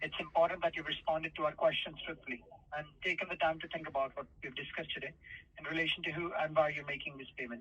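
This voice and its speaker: Over noticeable background noise, a man speaks at a very fast pace with a fairly high pitch. His intonation is fairly even, but his loudness swings widely. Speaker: bank fraud adviser. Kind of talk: scripted phone call warning. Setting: phone line.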